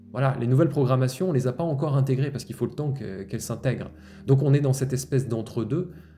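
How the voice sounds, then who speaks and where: Music plays in the background as a man speaks at a very fast pace. His pitch is medium. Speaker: spiritual healer. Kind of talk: spiritual monologue podcast. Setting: outdoors-facing, looking at nature. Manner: continuous flowing monologue.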